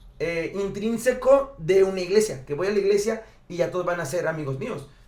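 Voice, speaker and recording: This man's high-pitched voice moves at a fairly quick pace with lively intonation, with audible room echo and noticeable background noise around him. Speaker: podcast co-host. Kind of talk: casual chat.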